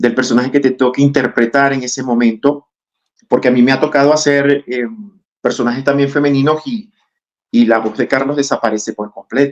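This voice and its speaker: Fairly quick in pace, a man talks at medium pitch with fairly even intonation. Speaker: actor and acting teacher. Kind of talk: interview.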